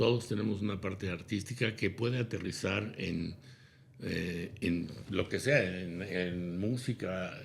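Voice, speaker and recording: Very slowly, a man speaks in a fairly low pitch with ordinary pitch variation and a somewhat breathy sound. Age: 70s. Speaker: businessman and consultant. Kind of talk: interview.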